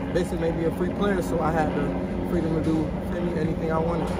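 Music plays in the background as a man talks at a very fast pace. The sound is dry, with no echo. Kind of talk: interview answer. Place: stadium.

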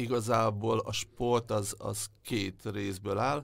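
This man's fairly low voice carries vocal fry and fairly even intonation. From Hungary, Debrecen. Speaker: sports journalist. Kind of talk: interview.

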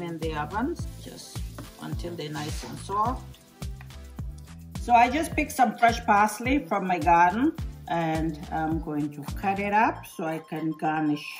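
Over clear music in the background, a woman speaks with big swings in loudness. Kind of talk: cooking tutorial. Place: kitchen. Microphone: phone near.

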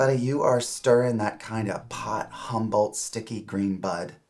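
This man keeps a moderate pace, and his intonation is fairly even. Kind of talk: scripted comedic dialogue, lecturing. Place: office.

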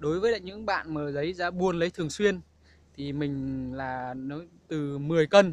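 A man talks at a moderate pace. His pitch is fairly high.

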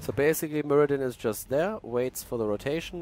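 Speaking at a fairly quick pace with ordinary pitch variation, a man is heard over noticeable background noise. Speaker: esports commentator and streamer. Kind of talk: live commentary. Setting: live stream. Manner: casual, self-deprecating, chatty.

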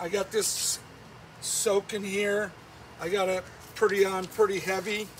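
Light background noise sits behind a man's voice. He speaks at a very slow pace in a high pitch. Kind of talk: tutorial. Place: garden.

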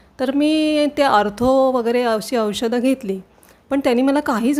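Woman at a high pitch with ordinary pitch variation. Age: 60s. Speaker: patient. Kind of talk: testimony.

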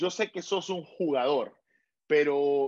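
Someone speaks at a very slow pace with a Honduran accent. The background is quiet. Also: man. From Honduras (Tegucigalpa); Honduras. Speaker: podcast host; interview host. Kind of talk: interview. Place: home room. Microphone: video call.

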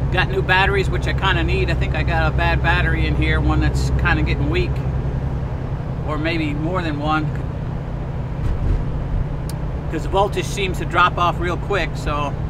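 A man speaks at a moderate pace with long, frequent pauses. The sound is dry with no echo, over loud background noise. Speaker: truck driver vlogger. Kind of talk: casual vlog chat. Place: car.

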